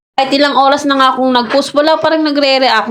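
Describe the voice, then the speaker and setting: Her voice carries audible room echo. The speaker is a woman. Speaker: vlogger. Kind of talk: voice-over vlog narration.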